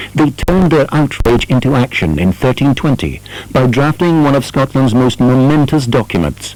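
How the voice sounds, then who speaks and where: With music in the background, a man talks at a moderate pace in a medium pitch and lively intonation. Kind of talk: documentary narration.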